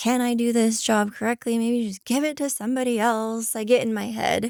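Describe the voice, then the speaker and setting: Soft-spoken and fairly quick, a woman talks at a fairly high pitch in a monotone with flat intonation, on a very clean recording with a silent background. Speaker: podcast guest, host's wife. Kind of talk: casual chat.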